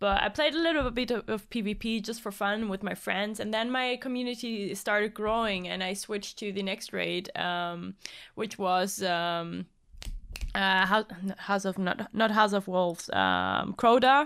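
Speaking fairly slowly at a medium pitch, a woman with a German accent comes through on a very clean recording with a silent background. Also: ordinary pitch variation. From Germany, Cologne. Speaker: video game streamer. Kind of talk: casual chat.

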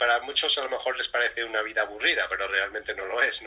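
Background noise is clearly present. The speaker is a man. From Spain. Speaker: breathing and fitness coach. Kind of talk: interview.

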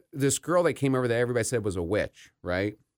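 A man with an American accent talks with vocal fry. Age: 30s. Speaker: podcast host, person in addiction recovery. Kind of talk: casual interview chat.

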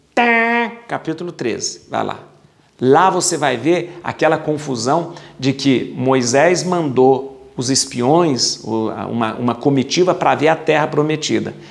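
Amid noticeable background noise, a man speaks very slowly in a fairly high pitch with lively intonation. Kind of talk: bible study lecture. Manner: casual, repetitive with fillers.

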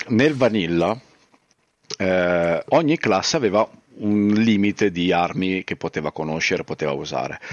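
A man with a very deep, low pitch speaks at a moderate pace, using lively intonation and long, frequent pauses. The sound is dry and close with no echo, over a quiet background. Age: 30s. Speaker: YouTuber and streamer. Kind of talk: casual chat.

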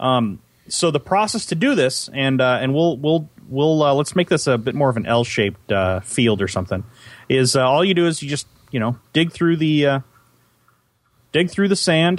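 Lively intonation and a moderate pace mark an ordinary speaking voice with an American accent. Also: man, fairly high pitch for a man. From US West, California Central Valley. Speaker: gaming podcast co-host. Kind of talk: casual chat with gameplay commentary.

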